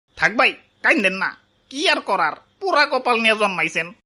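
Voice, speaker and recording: A female-sounding, cartoonish character voice. It moves at a fairly quick pace. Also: fairly high pitch for a woman. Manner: teasing, dry.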